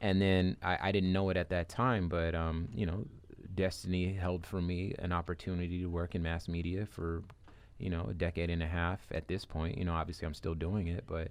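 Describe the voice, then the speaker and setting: A man speaks with an American accent. His pitch is very deep and low, and his intonation stays fairly even. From Southern California (Compton). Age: 30s. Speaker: radio host. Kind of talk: interview. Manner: hesitant, many fillers.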